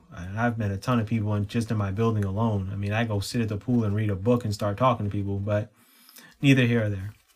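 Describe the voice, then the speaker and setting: Very fast and flat in a monotone, a man's fairly low, somewhat breathy voice comes through on a very clean recording with a silent background. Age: 40s. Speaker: podcast host and author. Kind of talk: solo podcast monologue. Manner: casual, with frequent fillers.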